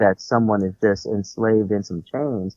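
A man talks in a normal speaking voice at a fairly slow pace. His pitch is fairly low, with ordinary pitch variation. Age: 40s. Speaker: minister. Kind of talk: casual religious discussion.

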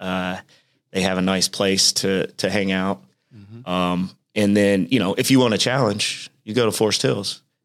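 A man's fairly low voice with a Midwestern American accent, fairly slow and fairly even in intonation, on a very clean recording with a silent background. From Indiana, Richmond. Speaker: business owner. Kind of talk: casual interview.

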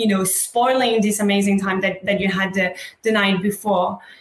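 Over noticeable background noise, a woman speaks at a fairly quick pace with a medium pitch. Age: 30s. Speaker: panel moderator, hospitality wellness founder. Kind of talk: panel discussion. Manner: animated.

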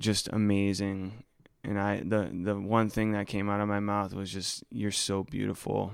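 In a very clean recording with a silent background, a man with an American accent talks in a fairly low pitch with monotone, flat intonation. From US East Coast. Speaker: podcast co-host. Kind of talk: casual chat; scripted narration.

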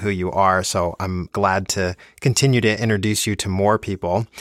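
In an ordinary speaking voice, a man with an American accent talks at a fairly low pitch with fairly even intonation, recorded dry and close with no echo on a very clean track with a silent background. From New Jersey, Plainfield. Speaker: podcast host and orchestral cellist. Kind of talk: interview.

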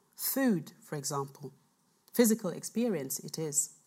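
A woman speaks with very wide pitch swings in a very clean recording with a silent background. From Cameroon. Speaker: historian of slavery giving a talk. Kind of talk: public lecture. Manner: formal.

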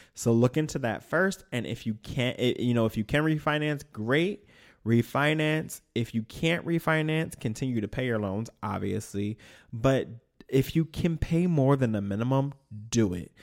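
A man with a plain, everyday voice talks at a moderate pace and medium pitch on a very clean recording with a silent background. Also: lively intonation. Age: 30s. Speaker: podcast co-host. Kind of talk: casual chat.

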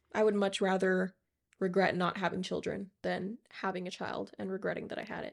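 A woman speaks at a medium pitch with vocal fry and fairly even intonation. The recording is very clean, with a silent background. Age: 20s. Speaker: podcast co-host, engaged partner. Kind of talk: casual chat.

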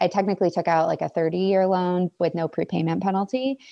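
This woman has a normal speaking voice at medium pitch. Her intonation is fairly even, and the background is quiet. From Maine, US. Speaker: emergency veterinarian. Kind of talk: casual interview.

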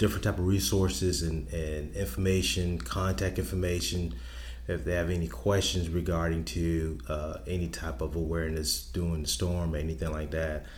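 A man with an American accent, very deep and low in pitch, at a moderate pace with ordinary pitch variation and audible room echo. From South Carolina Lowcountry, Charleston. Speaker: public safety director. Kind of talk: interview. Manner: halting, many fillers.

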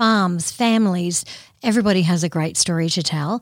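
The recording is very clean with a silent background. A woman with an Australian accent speaks at a medium pitch and a moderate pace, with ordinary pitch variation. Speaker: podcast host. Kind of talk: podcast interview. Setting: studio.

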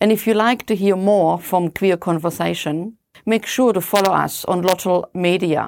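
In a normal speaking voice, a woman talks at a moderate pace with medium pitch, fairly even intonation and very even loudness. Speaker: podcast interviewer. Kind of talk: interview.

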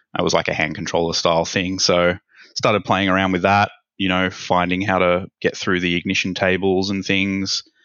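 Loudness stays very even throughout this monotone, flat delivery. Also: man, very deep, low pitch for a man, moderate pace. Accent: Australian. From Australia, Sydney. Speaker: ECU tech support specialist. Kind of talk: interview.

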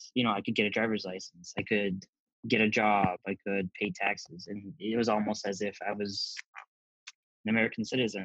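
A man speaks in an ordinary speaking voice at a fairly quick pace, fairly low in pitch with fairly even intonation, the sound dry and close with no echo. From US Midwest (rural Wisconsin and Minnesota). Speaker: pharmacy technician. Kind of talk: interview.

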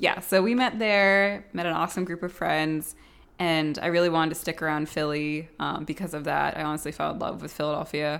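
Over a very clean recording with a silent background, a woman speaks at a fairly quick pace and fairly low pitch with ordinary pitch variation, in a plain, everyday voice. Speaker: podcast co-host, architect. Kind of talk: casual chat. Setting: small apartment.

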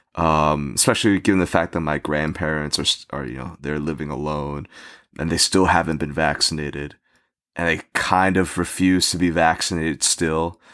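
The speaker talks at a moderate pace with a New Jersey accent. The intonation stays fairly even. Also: man, very deep, low pitch for a man. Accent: American, New Jersey. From US, New Jersey. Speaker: podcast guest. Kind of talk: casual chat. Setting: remote call, guest in the US.

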